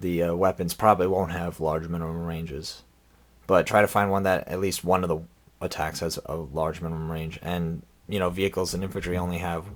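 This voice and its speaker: The pace is fairly quick, with a monotone, flat intonation. The recording is very clean, with a silent background. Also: man, very deep, low pitch for a man. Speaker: tabletop game tutorial maker. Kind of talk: tutorial. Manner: halting, many fillers; casual.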